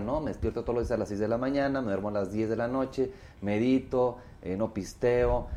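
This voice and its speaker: Dark and mellow in tone, a man with a fairly low pitch talks at a fairly quick pace with ordinary pitch variation. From Mexico, Torreón, Coahuila. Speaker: singer. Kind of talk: casual chat.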